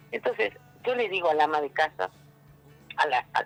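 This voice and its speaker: A man talks at a moderate pace. Music can be heard in the background. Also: dry, close sound with no echo. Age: 60s. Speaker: political candidate and labor activist. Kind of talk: interview. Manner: halting, with many fillers.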